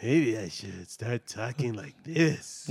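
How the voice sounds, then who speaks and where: At a fairly slow pace, a man at medium pitch performs a put-on character voice. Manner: mocking, put-on.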